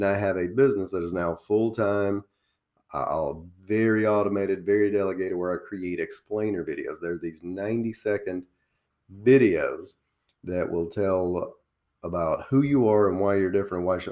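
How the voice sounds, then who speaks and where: A man with a Southern accent talks at a moderate pace, fairly low in pitch with fairly even intonation, against a quiet background. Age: 40s. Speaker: small business coach. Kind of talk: interview.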